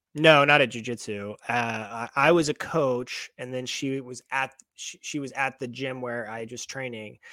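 Using an ordinary speaking voice, a man talks at a fairly slow pace in a medium pitch with fairly even intonation, hardly any pauses and big swings in loudness. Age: 30s. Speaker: movement coach and fitness content creator. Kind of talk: casual interview chat. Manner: calm.

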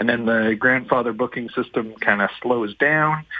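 The speaker uses a normal speaking voice with fairly even intonation. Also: man. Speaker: research scientist. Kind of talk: radio interview.

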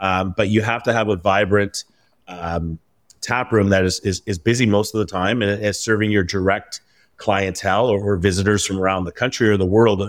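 On a very clean recording with a silent background, a man with a Canadian accent talks at a fairly quick pace in a monotone, flat intonation. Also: fairly low pitch for a man. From Vancouver, Canada. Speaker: craft brewery founder. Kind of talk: interview.

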